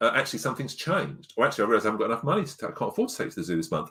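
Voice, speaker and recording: A man talks at a very fast pace in an English accent. The recording is very clean, with a silent background. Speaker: parenting coach. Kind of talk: podcast interview. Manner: loud.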